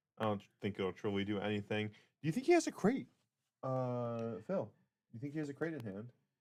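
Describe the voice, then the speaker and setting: This man speaks at a medium pitch with ordinary pitch variation. His pace is fairly quick. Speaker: tournament stream commentator. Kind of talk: live commentary. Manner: loud; animated.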